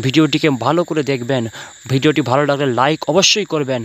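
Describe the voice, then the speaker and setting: This is a man with an ordinary speaking voice. His intonation stays fairly even. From West Bengal, Paschim Medinipur. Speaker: Islamic preacher and poet. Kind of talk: religious sermon-style address to viewers.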